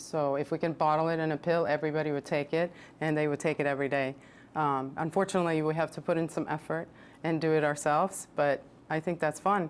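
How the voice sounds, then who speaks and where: A woman speaks fairly quickly with a very deep, low pitch and monotone, flat intonation. The recording is very clean, with a silent background. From Sweden. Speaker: personal trainer and nutritionist. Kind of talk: TV interview.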